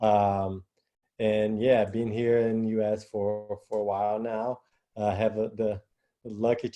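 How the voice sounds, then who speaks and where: Delivered at a very slow pace, a man's medium-pitched voice stays monotone and flat. His tone is dark and mellow. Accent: Portuguese. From Brazil. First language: Portuguese. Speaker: basketball coach. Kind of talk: panel discussion. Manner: halting.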